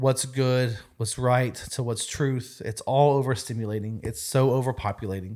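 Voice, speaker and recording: A man's plain, everyday voice sits at a medium pitch, its pitch varying in an ordinary way, on a very clean recording with a silent background. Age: 30s. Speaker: youth ministry leader. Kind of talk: casual chat.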